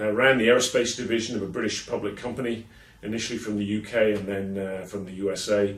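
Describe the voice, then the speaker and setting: Noticeable background noise sits under a man with an English accent. His pitch is fairly low and his intonation monotone and flat. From England. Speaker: keynote speaker and consultant. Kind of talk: promotional video message to event attendees. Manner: hesitant, many filler sounds.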